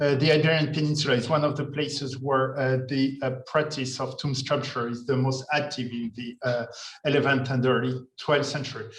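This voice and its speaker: A man with a French accent speaks at medium pitch and a moderate pace, his intonation flat and monotone. The room echoes audibly and background noise is noticeable. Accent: French, slightly thick. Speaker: art historian, museum curator. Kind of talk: lecture. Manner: hesitant, many fillers.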